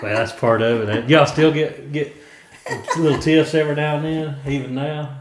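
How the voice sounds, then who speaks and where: Against noticeable background noise, a man speaks at a fairly high pitch and moderate pace with fairly even intonation. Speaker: family interviewer. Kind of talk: casual family interview.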